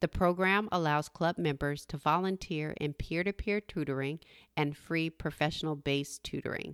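Her pitch very deep and low, a woman speaks at a moderate pace with fairly even intonation on a very clean recording against a silent background. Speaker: podcast host. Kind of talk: interview and podcast intro. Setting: home studio.

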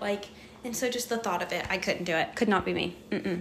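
Over noticeable background noise, a woman speaks in a medium pitch with an animated tone. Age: 20s. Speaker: podcast co-host. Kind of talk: casual chat.

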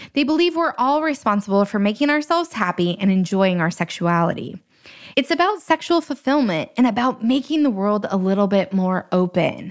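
Her pitch swings very widely while the woman keeps a moderate pace. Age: 30s. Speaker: podcast host. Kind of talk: casual monologue.

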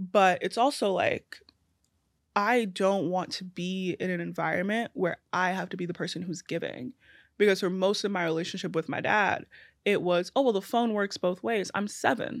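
With a New York accent, a woman speaks at medium pitch and a moderate pace, the sound dry and close with no echo on a very clean recording with a silent background. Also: ordinary pitch variation. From Brooklyn, New York. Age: 20s. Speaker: social media creator. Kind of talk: casual chat. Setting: studio.

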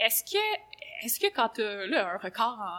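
A woman speaks with a Quebec accent. Her pitch is fairly high and varies in an ordinary way. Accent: Québécois French. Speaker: podcast host. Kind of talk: casual interview.

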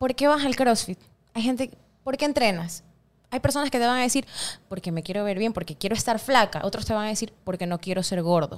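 A woman's fairly high voice, a normal speaking voice, with lively intonation and a fairly quick pace. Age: 30s. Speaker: CrossFit gym co-owner. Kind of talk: casual interview.

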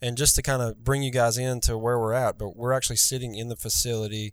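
On a very clean recording with a silent background, a man with a Southern US accent talks fairly quickly with fairly even intonation. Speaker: podcast host. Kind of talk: casual interview chat.

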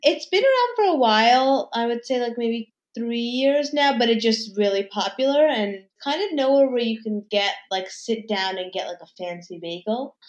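Speaking with an American accent, a woman with an unremarkable speaking voice and a fairly high pitch keeps a moderate pace with ordinary pitch variation and hardly any pauses. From New York City, Manhattan. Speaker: food and lifestyle influencer. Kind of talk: casual interview.

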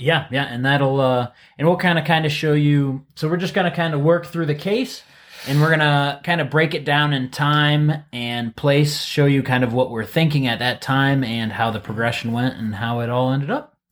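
With a plain, everyday voice and an American accent, a man speaks at a moderate pace in a fairly high pitch with ordinary pitch variation. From US Midwest, Ohio. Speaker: physical therapist podcast co-host. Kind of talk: casual chat about a patient case.

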